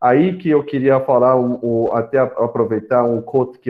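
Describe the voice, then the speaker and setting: A man speaks at a moderate pace with a medium pitch. His intonation stays fairly even. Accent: non-native. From São Paulo, Brazil (arrived age 10 after Korea and Paraguay). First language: Korean (speaking Portuguese). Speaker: startup panelist, fintech professional. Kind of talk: panel talk. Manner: halting, many fillers.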